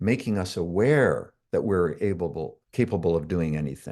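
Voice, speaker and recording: Over a quiet background, a man with a Canadian accent speaks in a dark, mellow tone with lively intonation. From Canada. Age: 60s. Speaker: self-development coach. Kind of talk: interview.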